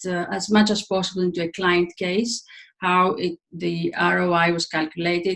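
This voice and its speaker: The speaker has a Greek accent and a moderate pace. Intonation stays fairly even. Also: woman. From Greece. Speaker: leadership coach and trainer. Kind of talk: webinar presentation. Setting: online webinar. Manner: halting, many fillers.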